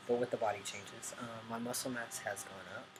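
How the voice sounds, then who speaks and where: A man mumbling, with audible room echo and noticeable background noise. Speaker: vlogger. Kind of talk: casual video update. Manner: hesitant, many ums.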